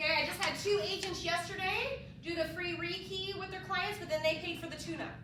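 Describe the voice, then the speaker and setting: The voice is raised and projected. Audible room echo and noticeable background noise surround it. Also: woman. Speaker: home warranty representative. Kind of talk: sales presentation at office meeting. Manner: fast; animated.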